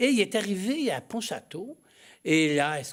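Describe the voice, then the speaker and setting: At a fairly slow pace, a man talks with very wide pitch swings on a very clean recording with a silent background. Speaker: missionary priest. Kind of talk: studio interview. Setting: TV studio. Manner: halting, with many hesitations.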